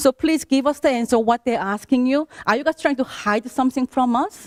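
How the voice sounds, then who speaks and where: A woman with a non-native accent speaks high in pitch with ordinary pitch variation, recorded with a dry, close sound and no echo. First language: not English. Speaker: affected homeowner at public meeting. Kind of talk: public meeting complaint.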